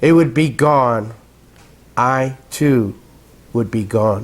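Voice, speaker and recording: A man talks at a very slow pace with lively intonation. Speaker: poet. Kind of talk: poetry reading. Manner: loud.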